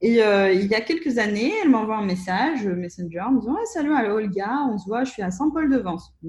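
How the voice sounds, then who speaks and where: Lively intonation at a fairly quick pace, with hardly any pauses. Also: woman, fairly high pitch for a woman. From Russia (Soviet Union). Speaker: entrepreneur. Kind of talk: interview. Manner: hesitant, many fillers.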